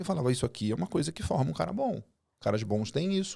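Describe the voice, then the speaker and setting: Recorded very cleanly against a silent background, a man speaks in a plain, everyday voice at medium pitch. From Brazil, Rio de Janeiro and Goiás. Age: 40s. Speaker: agribusiness executive and mentor. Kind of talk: casual podcast interview.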